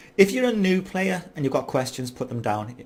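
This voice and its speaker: A man speaks with a fairly high pitch and lively intonation. His voice is somewhat breathy. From Ireland. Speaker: gaming YouTuber. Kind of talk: gameplay commentary. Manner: casual, hesitant with fillers.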